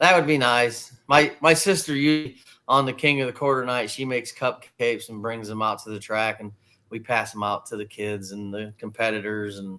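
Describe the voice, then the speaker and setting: A man's medium-pitched voice, bright and sharp in tone, at a moderate pace with ordinary pitch variation and big swings in loudness. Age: 60s. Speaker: race car driver. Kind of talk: interview.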